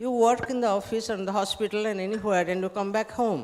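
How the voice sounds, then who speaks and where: A fairly high-pitched woman at a fairly quick pace, with ordinary pitch variation and noticeable background noise. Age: 70s. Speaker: social activist. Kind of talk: panel discussion.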